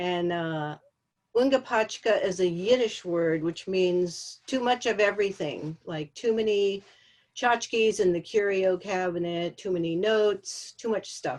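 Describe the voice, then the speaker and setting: In an American accent, an unremarkable speaking voice moves at a fairly slow pace with ordinary pitch variation. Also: woman, medium pitch for a woman. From Los Angeles. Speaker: textile artist. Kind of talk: artist presentation. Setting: video call.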